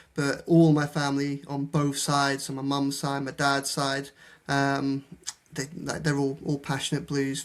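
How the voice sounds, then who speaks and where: A man's fairly high voice at a moderate pace. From England, Shropshire (Shrewsbury). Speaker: football journalist. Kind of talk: podcast interview. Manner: hesitant, many repeated words.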